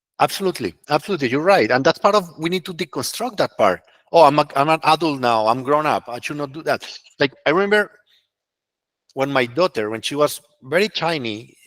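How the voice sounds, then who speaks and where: In a dry, close sound with no echo, a man with a Spanish accent speaks at a fairly quick pace with a fairly high pitch. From Colombia. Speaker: consultant and webinar speaker. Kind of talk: webinar talk with Q&A. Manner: halting, repeats words.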